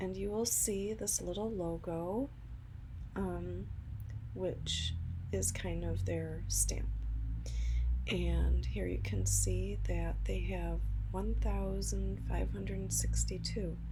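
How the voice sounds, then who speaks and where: Soft-spoken and very slow, a woman with a very deep, low pitch uses lively intonation and very even loudness, leaving long, frequent pauses amid noticeable background noise. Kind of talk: soft-spoken ASMR.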